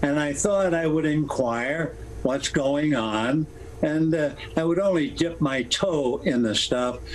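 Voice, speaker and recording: A man with a fairly high pitch speaks at a very slow pace, with ordinary pitch variation and very even loudness. There is noticeable background noise behind him. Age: 80s+. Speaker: retired baseball broadcaster. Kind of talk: interview answer.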